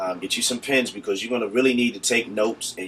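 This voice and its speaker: Noticeable background noise fills the recording. Over it, a man speaks very fast at medium pitch. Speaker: video blogger, spiritual life coach. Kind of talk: casual chat.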